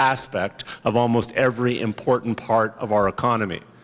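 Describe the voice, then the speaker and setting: Speaking at a moderate pace in a medium pitch, a man with a Canadian accent keeps a monotone, flat intonation over noticeable background noise. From Canada, Montreal. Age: 50s. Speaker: politician. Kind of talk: conference speech.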